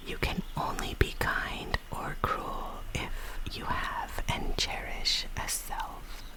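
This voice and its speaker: Noticeable background noise surrounds whispering that unfolds at a very slow pace. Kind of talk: ASMR poetry reading, whispered. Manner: whispered, soft.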